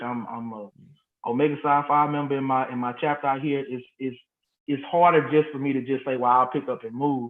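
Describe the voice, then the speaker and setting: A man talks at a fairly quick clip in a fairly high pitch. His intonation stays fairly even, and it's a plain, everyday voice. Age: 30s. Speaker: high school band director. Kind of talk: interview.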